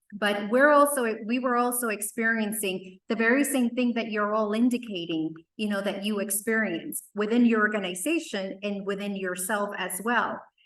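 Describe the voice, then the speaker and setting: Amid audible room echo, a woman with a fairly high pitch speaks at a moderate pace with ordinary pitch variation and hardly any pauses. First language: not English (English is third language). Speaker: workforce development leader. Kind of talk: conference presentation.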